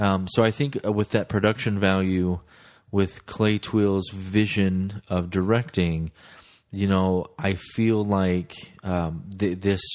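A man with a Midwestern American accent has a very deep, low pitch. He talks at a fairly slow pace with fairly even intonation. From US Midwest (Omaha, Nebraska). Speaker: podcast host, movie reviewer. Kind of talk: solo casual podcast, movie reviews. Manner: hesitant, many filler words.

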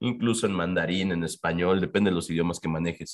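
Over a quiet background, a man speaks with very deep, low pitch. His pace is fairly quick and his intonation fairly even. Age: 40s. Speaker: bookshop founder. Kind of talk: casual chat. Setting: bookshop.

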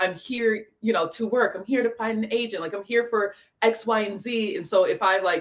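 A woman with an American accent speaks in a plain, everyday voice at medium pitch. Her pace is moderate. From Michigan. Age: 20s. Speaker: influencer, aspiring model and actress. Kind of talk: casual chat.

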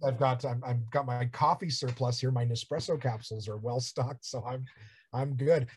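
A man speaks at a moderate pace. His voice is somewhat breathy. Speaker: comedian and podcaster. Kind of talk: casual interview chat.

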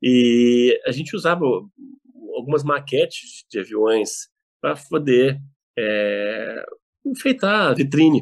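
A man speaks at a very slow pace, taking long, frequent pauses. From Brazil, Belo Horizonte (Minas Gerais). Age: 50s. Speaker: wine importer and business owner. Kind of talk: casual interview. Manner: halting, repeats words.

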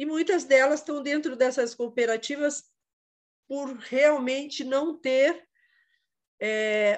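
A woman speaks very slowly in a high voice with ordinary pitch variation over a quiet background. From Quatro Barras, Curitiba metro area, Brazil. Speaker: visual artist, upcycling entrepreneur. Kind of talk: online panel conversation. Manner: halting.

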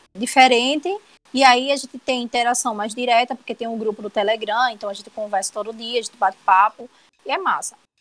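A plain, everyday voice from a woman at a fairly high pitch, fairly quick pace, ordinary pitch variation, big swings in loudness, and a dry, close sound with no echo. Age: 20s. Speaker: illustrator and web comic artist. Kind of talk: casual interview chat.

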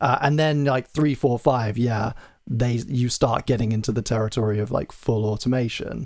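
An ordinary speaking voice is heard here. It moves at a moderate pace. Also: man, medium pitch for a man, fairly even intonation. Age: 20s. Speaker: podcast host. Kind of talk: casual interview chat.

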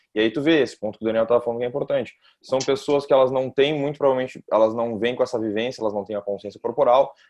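Speaking at a very fast pace with hardly any pauses, a man uses a medium pitch. His intonation stays fairly even. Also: quiet background. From Brazil. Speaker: kettlebell instructor. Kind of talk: casual podcast chat.

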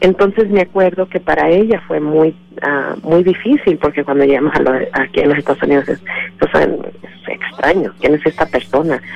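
A woman speaks with a very deep, low voice and some vocal fry. She keeps a moderate pace, and her pitch varies in an ordinary way. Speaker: immigrant rights organization director. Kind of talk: radio interview. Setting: phone call. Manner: halting.

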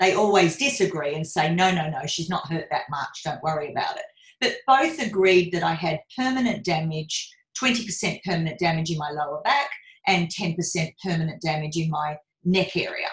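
Intonation is lively in this somewhat breathy voice. The pace is moderate. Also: woman, fairly low pitch for a woman. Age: 50s. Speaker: business coach. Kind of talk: casual chat.

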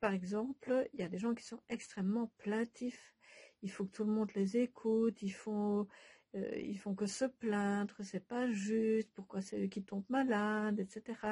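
Speaking at a fairly slow pace, a woman's fairly high, somewhat breathy voice has a dark, mellow tone and monotone, flat intonation, in a dry, close sound with no echo. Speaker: Bach flower remedy practitioner and author. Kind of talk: casual monologue to followers. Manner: hesitant, many filler sounds.

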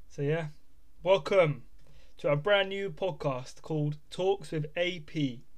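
With a southern English accent, a man talks at a very slow pace with ordinary pitch variation. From England, Bedford. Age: 20s. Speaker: podcast host and clothing brand owner. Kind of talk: casual monologue. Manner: informal, hesitant with fillers.

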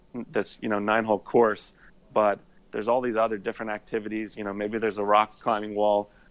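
A man speaks with a Midwestern US accent. His voice is fairly low in pitch. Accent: US Midwest. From Indiana, US Midwest. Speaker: attorney and golf content creator. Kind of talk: casual chat.

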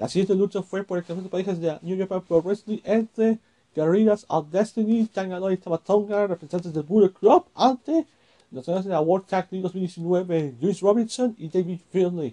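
This man talks at a moderate pace with a high pitch and a dark, mellow tone. The sound is dry and close, with no echo. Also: ordinary pitch variation. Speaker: wrestling podcaster. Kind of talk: solo commentary podcast. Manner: halting, many filler words.

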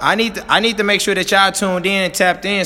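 A man with an American accent speaks in an animated tone. Noticeable background noise runs behind him. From Missouri (St. Louis). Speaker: podcast co-host and coach. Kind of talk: motivational casual chat.

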